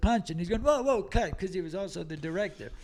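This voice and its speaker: A man with a Boston accent talks at a very fast pace in a high voice. His intonation is lively. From Massachusetts, Lawrence (Boston area). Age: 70s. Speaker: comedian. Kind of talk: casual chat. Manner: animated.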